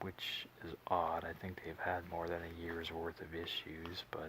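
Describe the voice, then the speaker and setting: A soft-spoken man with an American accent, a very deep, low pitch and a very slow pace. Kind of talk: ASMR comic book haul show and tell.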